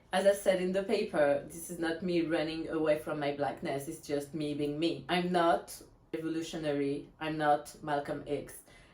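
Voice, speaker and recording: This woman's pitch is very deep and low. She keeps a moderate pace with fairly even intonation. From France. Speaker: blogger. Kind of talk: reading aloud.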